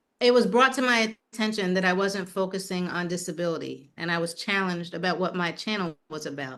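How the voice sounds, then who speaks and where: A woman with an American accent speaks at a fairly quick pace, using a medium pitch, ordinary pitch variation and hardly any pauses. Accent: New York accent comes out when angry. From New York City (Manhattan). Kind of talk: casual interview chat. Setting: outdoor terrace.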